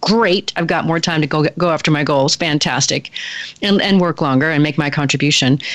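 Speaking at a fairly quick pace, a woman has a very deep, low pitch with ordinary variation. Noticeable background noise runs underneath. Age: 50s. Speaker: radio host and leadership consultant. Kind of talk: radio interview. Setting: radio studio.

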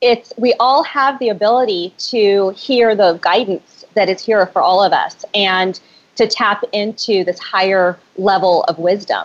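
A woman speaks fairly slowly in an ordinary speaking voice of medium pitch, with very even loudness and ordinary pitch variation. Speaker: spirit translator and author. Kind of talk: interview conversation.

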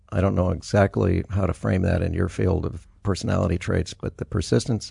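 This man's voice is very deep and low, with a dark, mellow tone and vocal fry. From US, moved around a lot (born El Paso, Texas). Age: 60s. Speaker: immigration lawyer. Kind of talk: interview.

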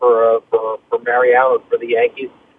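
A man speaks at a moderate pace. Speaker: sports journalist. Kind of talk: casual sports talk. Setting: phone call. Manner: rambling.

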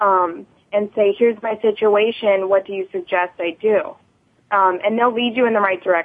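With an ordinary speaking voice, a woman talks at a moderate pace with ordinary pitch variation. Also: medium pitch for a woman. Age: 20s. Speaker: recovering addict and advocate. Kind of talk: interview. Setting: radio studio.

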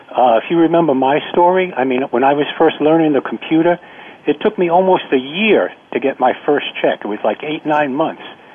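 A man speaks at a moderate pace in a fairly high pitch with ordinary variation. Noticeable background noise can be heard. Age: 50s. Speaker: caller, former guest. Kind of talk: call-in comments. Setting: phone call. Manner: halting, repeats words.

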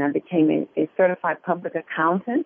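An unremarkable speaking voice from a woman with an American accent, medium in pitch, at a fairly slow pace. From US Midwest, Detroit. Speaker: life coach and motivational speaker. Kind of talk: interview.

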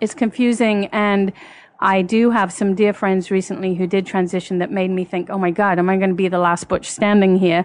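The voice moves at a moderate pace with few pauses and little pitch movement.

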